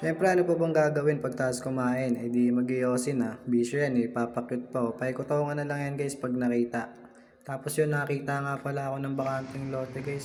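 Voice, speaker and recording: Over noticeable background noise and audible room echo, a man talks at a fairly quick pace with hardly any pauses and fairly even intonation. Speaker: vlogger, film extra. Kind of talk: casual vlog.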